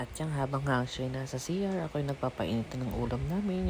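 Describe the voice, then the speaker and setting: Soft-spoken and very deep in pitch, a woman speaks with lively intonation. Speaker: vlogger, housewife. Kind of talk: vlog voice-over narration. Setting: at home, early morning. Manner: soft-spoken, quiet; casual, joking.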